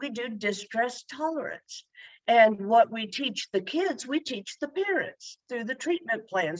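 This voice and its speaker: A woman with a plain, everyday voice speaks at a fairly slow pace and fairly high pitch with lively intonation, in a dry, close sound with no echo. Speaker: therapist. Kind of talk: panel discussion.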